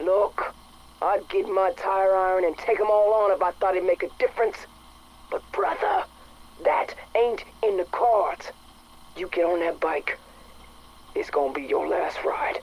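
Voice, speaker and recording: Someone puts on a gruff character voice at a middle pitch and a moderate pace. Long pauses come often. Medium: video game. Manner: gruff, profane.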